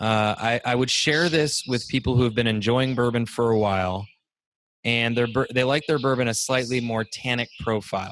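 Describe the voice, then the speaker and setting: A man with an unremarkable speaking voice talks at medium pitch and a moderate pace, with fairly even intonation and very even loudness, on a very clean recording with a silent background. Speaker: digital marketing speaker and consultant. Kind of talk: casual podcast host talk.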